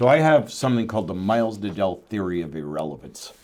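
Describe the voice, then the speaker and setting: Noticeable background noise accompanies a man at a medium pitch. He speaks at a very fast pace with lively intonation. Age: 60s. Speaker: entrepreneur and investor. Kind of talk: casual chat.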